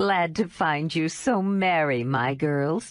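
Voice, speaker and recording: In a put-on character voice with a very deep, low pitch, a woman speaks at a fairly slow pace with lively intonation against a quiet background. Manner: cheery.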